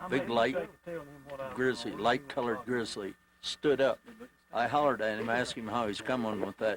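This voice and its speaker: A man with an American accent at medium pitch, fairly even intonation and a moderate pace, big swings in loudness, long and frequent pauses, and noticeable background noise. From Indiana. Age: 60s. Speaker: hunter. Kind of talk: casual interview.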